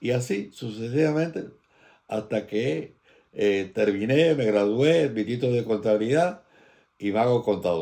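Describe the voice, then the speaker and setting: A man with a dark, mellow tone and fairly low pitch speaks fairly slowly with lively intonation on a very clean recording with a silent background. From Galicia, Spain (As Pontes), then Cuba from age 12. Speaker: emigrant recounting life story. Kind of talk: oral history interview.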